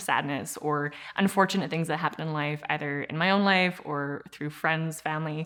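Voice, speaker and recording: With a Saskatchewan accent, a woman with a very deep, low pitch talks at a moderate pace with fairly even intonation. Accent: Canadian (Saskatchewan). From Regina, Saskatchewan, Canada. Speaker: actor, theatre artist. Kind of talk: interview answer. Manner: casual, hesitant.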